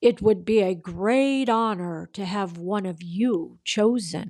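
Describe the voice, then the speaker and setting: A woman puts on a character voice at a medium pitch. She keeps a fairly slow pace on a very clean recording with a silent background. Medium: read story.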